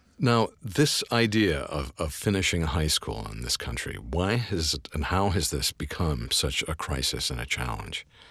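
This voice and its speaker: A man's very deep, low voice with very wide pitch swings and hardly any pauses, over noticeable background noise. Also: moderate pace. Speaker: station announcer and podcast host. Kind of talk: interview conversation on a podcast. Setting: studio.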